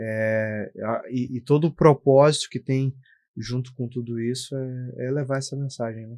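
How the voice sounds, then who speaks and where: A man at a medium pitch speaks at a fairly slow pace with fairly even intonation and big swings in loudness. The sound is dry and close with no echo against a quiet background. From southern Brazil (Bagé, Rio Grande do Sul), born in Minas Gerais. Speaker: guest speaking about faith and entrepreneurship. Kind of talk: casual podcast interview.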